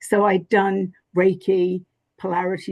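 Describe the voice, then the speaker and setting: A woman's medium-pitched voice with vocal fry and a strong English accent. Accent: thick English. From England. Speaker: spiritual teacher and author. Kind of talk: interview conversation. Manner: hesitant, many fillers.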